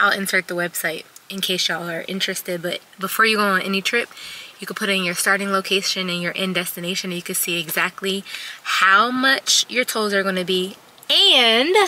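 Here a woman speaks at a moderate pace with fairly even intonation. The sound is dry, with no echo. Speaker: travel vlogger. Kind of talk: casual vlog chat. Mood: relaxed, chatty. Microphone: phone near.

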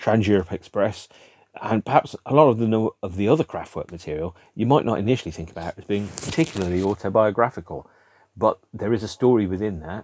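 A man with a British accent, fairly low pitch, ordinary pitch variation and a fairly quick pace, in a dry sound with no echo. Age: 50s. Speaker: music video blogger. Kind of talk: solo monologue to camera about a record album. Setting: home room with record shelves behind. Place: home room.

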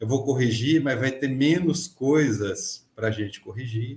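There is audible room echo as a somewhat breathy man talks at a fairly slow pace with ordinary pitch variation. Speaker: podcast guest, mechanics teacher. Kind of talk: interview answer. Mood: friendly, smiling. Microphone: webcam.

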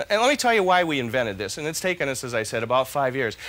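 A man with a fairly high pitch, very wide pitch swings and a bright, sharp tone. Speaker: infomercial host, product co-inventor. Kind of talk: infomercial product demonstration. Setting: studio kitchen. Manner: upbeat, enthusiastic. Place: studio. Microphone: lapel.

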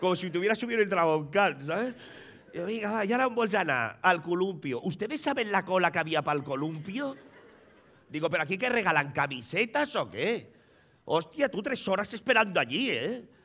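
A man speaks in an animated tone at a moderate pace. His high pitch swings very widely. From Catalonia, Premià de Mar; Catalonia. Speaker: comedian. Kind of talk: stand-up. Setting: stage with audience. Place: stage. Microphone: headset.

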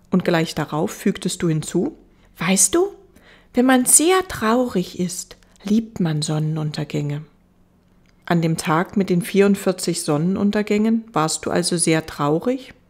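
A woman speaks in a gentle, soothing tone at a very slow pace. Her pitch is medium, with ordinary variation. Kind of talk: audiobook reading aloud, bedtime story narration. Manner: slow, soft, gentle and soothing; wistful, melancholic storytelling tone.

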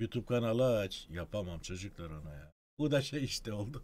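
Pitch swings very widely as this man talks. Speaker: retired doctor (obstetrician); guest. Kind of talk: casual live-stream Q&A. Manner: quiet, speaks inwardly. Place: home room.

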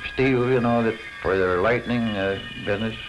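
A man speaks over music in the background, keeping a moderate pace and ordinary pitch variation. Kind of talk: interview answer, reminiscing. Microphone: old recording.

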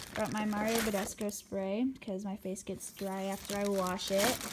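Loud background noise sits behind a woman talking at a moderate pace. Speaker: vlogger. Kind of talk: casual vlog chat. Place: home room. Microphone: phone near.

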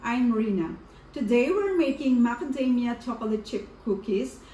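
There is light background noise. A woman's voice carries audible room echo. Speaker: home cooking vlogger. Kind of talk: tutorial. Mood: warm, cheerful. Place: kitchen.

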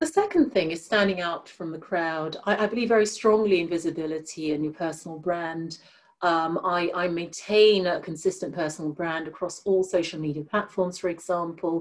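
A woman's normal speaking voice, fairly low in pitch, with fairly even intonation, a moderate pace and hardly any pauses. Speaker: diversity and inclusion leader, guest speaker. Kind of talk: presentation and Q&A on a webinar. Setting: video call. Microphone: video call.

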